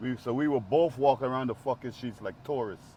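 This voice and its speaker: A man with an American accent has an unremarkable speaking voice at medium pitch. He talks at a fairly quick pace with fairly even intonation. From Guyana. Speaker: former gang member. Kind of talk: casual chat. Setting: in a car.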